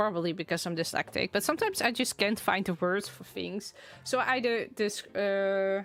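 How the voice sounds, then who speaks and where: In a Dutch accent, a woman speaks at a moderate pace with medium pitch and ordinary pitch variation. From Netherlands. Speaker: streamer. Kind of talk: casual livestream chat. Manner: halting.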